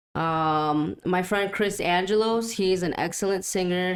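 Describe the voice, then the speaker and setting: A Spanish accent in a very clean recording with a silent background. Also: woman. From US Midwest, Waukegan, Illinois. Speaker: musician. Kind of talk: interview. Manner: casual, many fillers.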